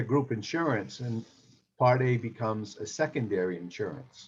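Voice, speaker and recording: A man's somewhat breathy voice at medium pitch and a fairly slow pace. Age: 60s. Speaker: insurance agent. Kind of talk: presentation.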